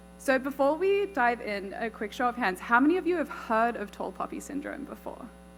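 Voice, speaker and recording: Over music in the background, a woman talks at a fairly quick pace with hardly any pauses, her high pitch swinging very widely. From Australia. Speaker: conference speaker, tech worker. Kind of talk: conference talk. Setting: stage with audience. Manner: casual, chatty.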